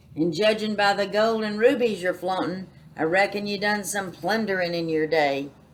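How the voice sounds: A natural reading voice is used. Its pitch variation is ordinary.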